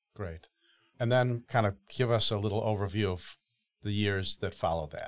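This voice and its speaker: A plain, everyday voice with an American accent, fairly even intonation and a moderate pace, on a very clean recording with a silent background. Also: man, fairly low pitch for a man. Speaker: podcast host. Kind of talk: interview conversation.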